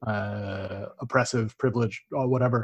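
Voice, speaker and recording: The man's voice is medium-pitched and somewhat breathy. His intonation stays fairly even. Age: 30s. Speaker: podcast host. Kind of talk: interview. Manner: halting.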